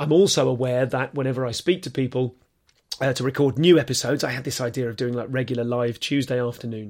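A man at medium pitch, very fast and excited. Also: very clean recording, silent background. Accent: English. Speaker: comedian and podcast host. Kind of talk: casual monologue to listeners. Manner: fast, excited.

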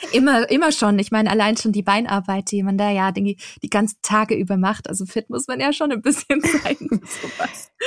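A plain, everyday voice from a woman, fairly high in pitch, with lively intonation at a moderate pace, in a dry, close sound with no echo. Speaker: travel blogger and podcaster. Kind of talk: casual chat.

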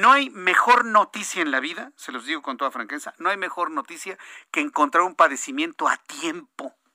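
A man with a high pitch, animated tone and bright, sharp tone, making very wide pitch swings and big swings in loudness, in a dry, close sound with no echo. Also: moderate pace. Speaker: radio news anchor. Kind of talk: radio news show.

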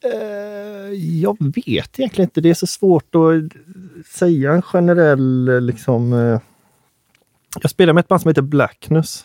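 This man talks at a fairly slow pace with a high pitch, lively intonation and a dark, mellow tone, captured in a dry, close sound with no echo. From Gothenburg northern archipelago (Hönö), Sweden. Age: 20s. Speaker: musician (trumpet player). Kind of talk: casual chat.

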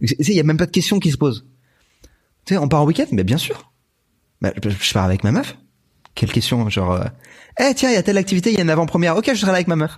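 A man with vocal fry talks at a very fast pace yet with long, frequent pauses, his fairly high voice making very wide pitch swings at very even loudness. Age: 30s. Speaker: YouTuber. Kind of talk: casual chat.

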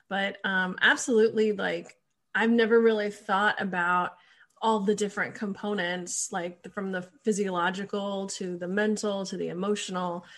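At a moderate pace over a quiet background, a woman speaks in a plain, everyday voice at a medium pitch. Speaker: podcast host. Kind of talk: casual chat. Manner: informal, chatty.

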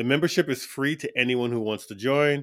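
In an American accent, a man speaks at a moderate pace with fairly even intonation, on a very clean recording with a silent background. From New York City. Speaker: sync agent and music producer. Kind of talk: interview conversation.

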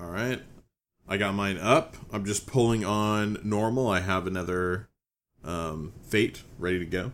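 A man at a fairly slow pace with a normal speaking voice, fairly low pitch, and ordinary pitch variation. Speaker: podcast co-host. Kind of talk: casual chat. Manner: casual, upbeat.

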